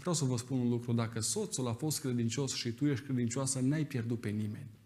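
Here a man speaks at a medium pitch, somewhat breathy. He moves at a fairly quick pace with fairly even intonation. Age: 30s. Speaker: preacher. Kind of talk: sermon. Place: church. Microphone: podium.

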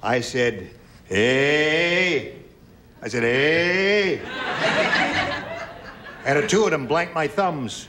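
A man's very slow, lively-toned speech amid noticeable background noise. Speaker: game show host. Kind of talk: game show hosting, reading questions. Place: studio.

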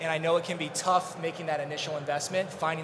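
A man speaks very fast in a flat monotone, his pitch fairly high. Noticeable background noise is present. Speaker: engineering and planning director. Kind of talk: conference panel discussion.

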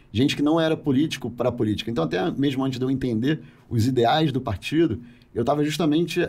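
At a very fast pace, a man speaks in a fairly high pitch with ordinary pitch variation. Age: 40s. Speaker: politician. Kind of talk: podcast interview. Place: studio. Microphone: studio mic.

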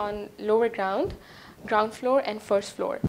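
A woman with a Pakistani accent speaks at a moderate pace in a fairly high pitch, with fairly even intonation and light background noise. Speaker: real estate presenter; presenter. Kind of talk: promotional property presentation. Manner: hesitant with frequent fillers. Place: home room. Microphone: lapel.

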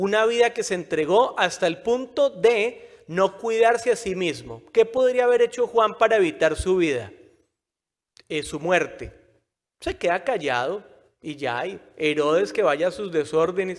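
A man with a high pitch speaks at a fairly slow pace, his tone animated and his intonation lively, over a quiet background. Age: 40s. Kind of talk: sermon. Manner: conversational, animated. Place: church. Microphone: podium.

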